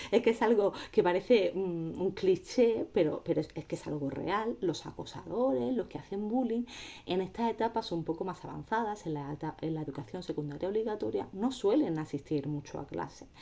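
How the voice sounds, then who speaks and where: A woman's dark, mellow voice at a moderate pace, with very wide pitch swings and hardly any pauses, on a very clean recording with a silent background. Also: medium pitch for a woman. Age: 30s. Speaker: anti-bullying advocate. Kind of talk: testimony. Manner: halting.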